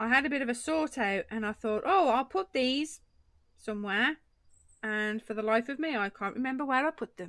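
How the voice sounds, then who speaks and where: Lively in intonation and fairly quick in pace, a woman with an English accent talks at a high pitch. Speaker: craft live streamer. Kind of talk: casual chat with live chat viewers. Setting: live stream.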